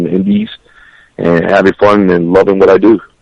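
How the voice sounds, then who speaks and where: A man's fairly low voice at a fairly quick pace, with a dry, close sound and no echo. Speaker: professional wrestler. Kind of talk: interview answer.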